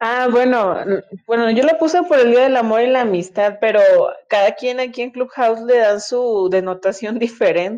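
Here is a woman with an unremarkable speaking voice. Her pitch is fairly high, with ordinary pitch variation. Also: moderate pace. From Monterrey, Mexico. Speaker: audience participant. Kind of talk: casual chat. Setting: phone in audio chat room.

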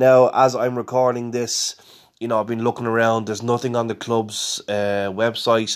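Someone with an Irish accent speaks in a monotone, flat intonation on a very clean recording with a silent background. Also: man. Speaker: football podcast host. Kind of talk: casual match preview podcast. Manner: conversational with fillers.

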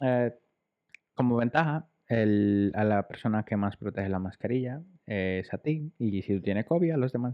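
Using an ordinary speaking voice, a man keeps to a medium pitch, and his pitch varies in an ordinary way. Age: 30s. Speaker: podcast co-host. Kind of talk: casual chat.

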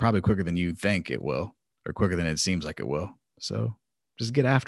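A man with a very deep, low pitch and vocal fry at a very fast pace, with lively intonation and a dry, close sound with no echo. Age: 40s. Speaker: podcast host. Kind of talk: solo podcast monologue. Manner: casual, hesitant with fillers.

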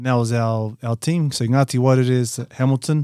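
A man's medium-pitched voice in a New Zealand accent, dark and mellow in tone, with fairly even intonation at a moderate pace, dry and close with no echo, on a very clean recording with a silent background. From New Zealand, Whanganui. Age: 30s. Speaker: touch rugby player. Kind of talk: casual chat.

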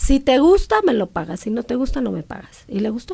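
A woman's high-pitched voice at a fairly quick pace, with very wide pitch swings. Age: 40s. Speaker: hair restoration entrepreneur. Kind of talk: casual interview.

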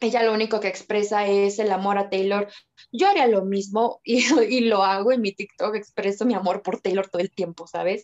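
In an ordinary speaking voice, a woman of medium pitch talks at a moderate pace with fairly even intonation, the sound dry and close with no echo. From Mexico. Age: 20s. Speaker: photographer and TikTok creator. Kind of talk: casual chat.

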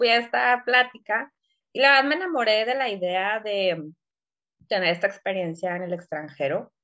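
A woman talks in an ordinary speaking voice. Her pace is moderate and her intonation lively. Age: 20s. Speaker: podcast co-host. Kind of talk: casual chat.

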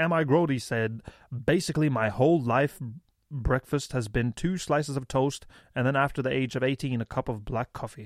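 With a Norwegian accent, the speaker talks at a moderate pace with ordinary pitch variation, dry and close with no echo in a very clean recording over a silent background. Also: man, medium pitch for a man. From Norway. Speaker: podcast co-host. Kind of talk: casual comedic banter.

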